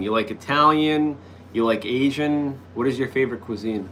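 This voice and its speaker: Noticeable background noise sits behind a man speaking at a fairly high pitch. His pace is moderate and his pitch varies in an ordinary way. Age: 40s. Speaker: live streamer. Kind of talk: casual chat. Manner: hesitant, many fillers.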